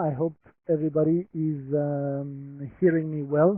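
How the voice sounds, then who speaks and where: A man with a French accent talks at a fairly high pitch. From France. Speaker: humanitarian protection expert. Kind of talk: presentation. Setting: webinar. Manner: halting.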